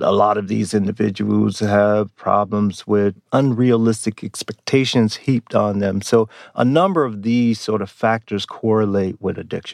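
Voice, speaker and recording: A plain, everyday voice with fairly even intonation, in a dry, close sound with no echo. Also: man. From US. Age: 50s. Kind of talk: interview.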